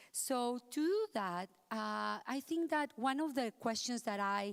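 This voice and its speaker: In a dry, close recording with no echo, a woman speaks at a fairly slow pace. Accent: strong Spanish. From Mexico. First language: Spanish. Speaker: accessibility consultant. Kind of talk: conference talk.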